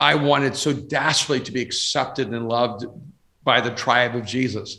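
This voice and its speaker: A man's bright, sharp voice at medium pitch, with fairly even intonation and a moderate pace. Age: 60s. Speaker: pastor and author. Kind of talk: interview. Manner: halting, many repeated words.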